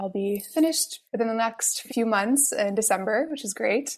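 In an American accent, a woman with an ordinary speaking voice talks at a fairly high pitch with ordinary pitch variation. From northern New Jersey. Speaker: beekeeper and author. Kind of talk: interview.

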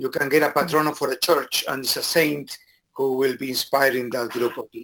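A man's fairly high pitch and bright, sharp tone in a Spanish accent, at a fairly quick pace with monotone, flat intonation. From Argentina. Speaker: professor of education. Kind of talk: interview.

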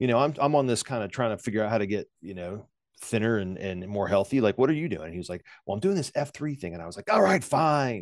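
A man with an American accent talks at a very fast pace and medium pitch. His intonation is lively, and his loudness swings widely. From Virginia, US. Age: 40s. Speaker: leadership coach. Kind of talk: casual interview.

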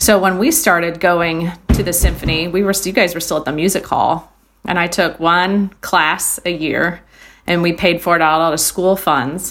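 This woman has a normal speaking voice, fairly low in pitch, with fairly even intonation and a moderate pace. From Iowa, US Midwest. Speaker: music teacher. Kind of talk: casual chat. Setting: video call.

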